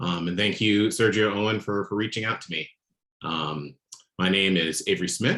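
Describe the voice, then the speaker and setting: A man speaks at a moderate pace with an American accent and a fairly low pitch. He has an unremarkable speaking voice. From Florida. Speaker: design director, guest speaker. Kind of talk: guest talk to students. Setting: Zoom video call with screen share.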